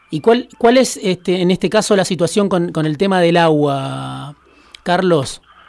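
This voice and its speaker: A man speaks at a fairly slow pace in a high voice, with noticeable background noise behind him. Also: ordinary pitch variation. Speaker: radio host. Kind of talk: interview.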